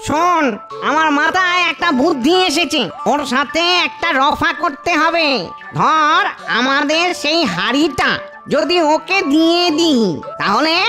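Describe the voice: A cartoonish character voice talks at a fairly slow pace. Music is clearly audible behind it.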